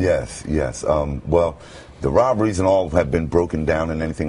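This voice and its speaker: With an American accent, a man talks at a moderate pace and ordinary pitch variation over noticeable background noise. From Brooklyn, New York. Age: 50s. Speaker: radio announcer. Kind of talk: TV interview answer.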